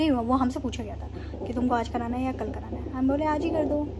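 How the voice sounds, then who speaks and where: A woman speaks at a moderate pace. Noticeable background noise runs beneath her voice. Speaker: expectant mother vlogger. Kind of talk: casual vlog chat. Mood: calm, mildly nervous, reflective. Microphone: phone near.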